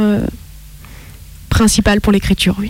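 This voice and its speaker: Noticeable background noise behind a woman's voice. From France, Italian roots. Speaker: author and actress. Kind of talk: casual interview.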